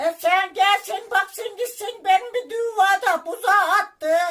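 A man uses a put-on character voice at an extremely high pitch. He speaks fairly slowly. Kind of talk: prank phone call.

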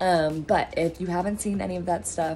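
A woman's fairly even intonation over faint background music. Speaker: vlogger announcing a business. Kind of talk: casual vlog chat. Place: home room. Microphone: phone near.

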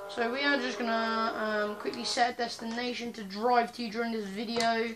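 Light background noise behind a woman's fairly slow delivery. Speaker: gamer vlogger. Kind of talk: casual vlog chat. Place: home room. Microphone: phone near.

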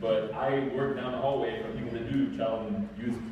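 A man speaks with strong room echo around him. Light background noise can be heard. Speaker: presenter. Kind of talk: lecture. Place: meeting room. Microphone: camera far.

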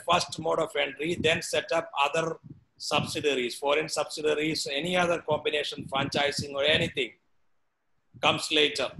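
Speaking with an Indian accent, a man talks at a fairly quick pace in a fairly high pitch with fairly even intonation over light background noise. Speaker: professor; professor lecturing. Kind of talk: lecture. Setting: video call. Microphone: video call.

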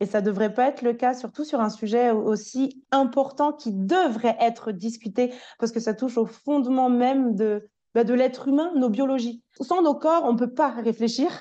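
In a quiet setting, a woman with a high pitch and a dark, mellow tone speaks at a moderate pace, her loudness very even and her pitch varying in an ordinary way. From France. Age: 20s. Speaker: language teacher and journalist. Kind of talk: personal testimony.

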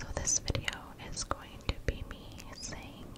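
Whispering and soft-spoken, the voice moves at a fairly slow pace. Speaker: ASMR creator. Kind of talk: soft ASMR intro talk. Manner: soft close-mic whisper. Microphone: studio mic.

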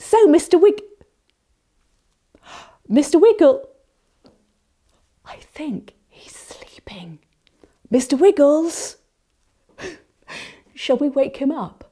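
A woman with a high, dark, mellow voice speaks very slowly with long, frequent pauses. Her pitch swings very widely. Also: big swings in loudness, quiet background. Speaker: English teacher for young children. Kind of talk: puppet play for young English learners. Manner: slow, clear, animated. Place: studio.

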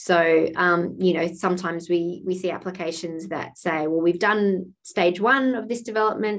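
An Australian-accented woman with a fairly low pitch, fairly even intonation and a moderate pace, in a quiet background. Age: 40s. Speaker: arts funding officer. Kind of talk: webinar Q&A. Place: home room. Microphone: video call.

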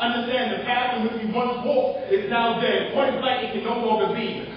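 A man talks at a fairly quick pace with an extremely high pitch. Light background noise sits under strong room echo. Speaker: slam poet. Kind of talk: slam poetry performance, rhetorical and literary verse. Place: stage.

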